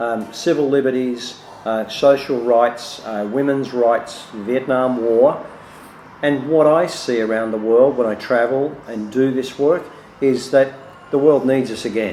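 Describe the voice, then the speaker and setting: A man with an Australian accent, medium pitch, fairly even intonation and a fairly slow pace, with audible room echo and noticeable background noise. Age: 60s. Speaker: business consultant and speaker. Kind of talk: promotional self-introduction. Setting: cafe. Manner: hesitant, many fillers.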